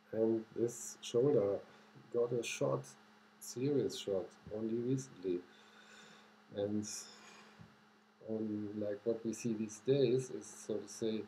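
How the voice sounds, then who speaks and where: Somewhat breathy and dark, mellow in tone, a man speaks at a very slow pace with long, frequent pauses and ordinary pitch variation. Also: medium pitch for a man. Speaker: astrologer. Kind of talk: video monologue.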